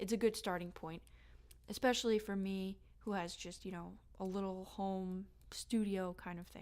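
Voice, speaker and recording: Speaking at a moderate pace, a woman holds a medium pitch in a flat, monotone way. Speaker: home-recording musician. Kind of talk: equipment tutorial. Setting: home studio. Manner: hesitant, many fillers.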